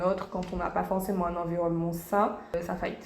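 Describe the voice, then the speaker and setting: With noticeable background noise and audible room echo around her, a woman talks at a medium pitch. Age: 20s. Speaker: YouTuber, young mother. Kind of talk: interview.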